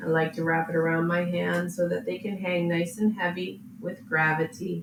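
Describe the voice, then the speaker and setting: A woman's fairly low, gentle and calm voice with fairly even intonation, over noticeable background noise. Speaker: yoga teacher. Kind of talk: guided yin yoga class. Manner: slow, gentle, calm.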